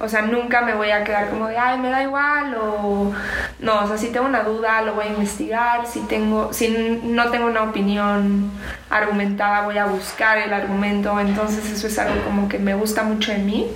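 In audible room echo and noticeable background noise, a woman speaks at a moderate pace in a fairly high voice with flat, monotone intonation. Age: 20s. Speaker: psychology student. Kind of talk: testimony.

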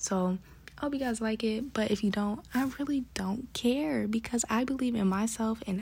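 At a fairly quick pace, a woman with an American accent talks in a fairly high, dark, mellow voice that is somewhat breathy, with ordinary pitch variation. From Bronx, New York. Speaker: podcast host. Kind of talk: casual monologue. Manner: fast talker.

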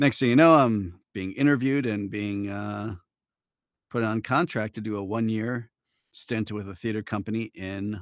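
A man with a Midwestern American accent, fairly low pitch and ordinary pitch variation at a moderate pace, on a very clean recording with a silent background. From Michigan, Detroit suburbs. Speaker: voice actor. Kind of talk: interview. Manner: casual, hesitant with fillers.

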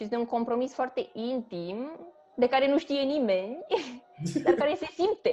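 Her voice is high, and this woman talks at a fairly slow pace with very wide pitch swings. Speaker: theatre critic. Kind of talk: casual chat.

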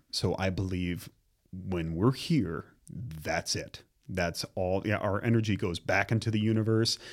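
Very clean and silent in the background, this recording has a man with an unremarkable speaking voice. He speaks at a fairly slow pace with a fairly low pitch and ordinary pitch variation. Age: 40s. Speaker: visual arts teacher. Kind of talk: casual interview.

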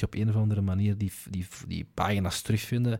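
Over a silent background in a very clean recording, a man talks with a Flemish accent in a dark, mellow tone. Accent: Flemish Dutch. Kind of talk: casual chat.

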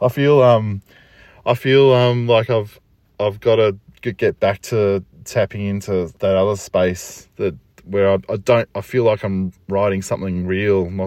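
A man speaks with fairly even intonation in an Australian accent. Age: 40s. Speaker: poet. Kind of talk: solo reflective monologue. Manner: casual, halting with fillers.

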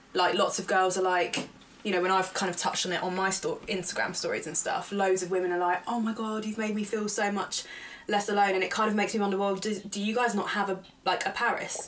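A woman at a medium pitch and a very fast pace, with noticeable background noise. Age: 20s. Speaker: podcast co-host. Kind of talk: casual chat. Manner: animated.

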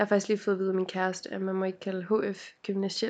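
A woman speaks fairly quickly while the background remains quiet. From Denmark, North Zealand (Helsinge). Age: 20s. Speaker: podcast co-host. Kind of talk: casual chat. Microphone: laptop microphone.

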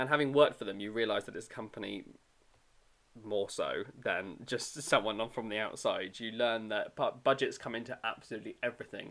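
Upbeat and fairly quick, a man talks with a British accent. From UK. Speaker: podcast host. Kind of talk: casual chat. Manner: casual, upbeat.

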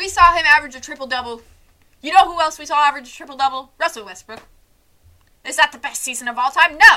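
A woman with an American accent talks very fast in a high, raised, projected voice, with ordinary pitch variation. Her loudness swings widely, and she leaves long, frequent pauses. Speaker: sports podcaster. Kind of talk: solo sports podcast monologue, casual. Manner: casual, self-deprecating, chatty.

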